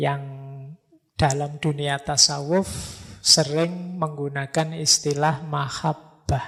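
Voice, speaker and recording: A man with a fairly high voice speaks very slowly in a flat monotone, on a very clean recording with a silent background. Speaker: philosophy lecturer. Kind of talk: religious lecture. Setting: mosque with live audience. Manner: casual, conversational.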